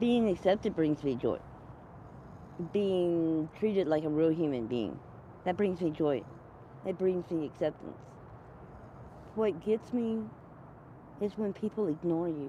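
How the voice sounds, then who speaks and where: With long, frequent pauses, a woman speaks at a fairly slow pace in a fairly low pitch, her tone dark and mellow and her intonation lively. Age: 60s. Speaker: unhoused person interviewed on a livestream. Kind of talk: casual interview.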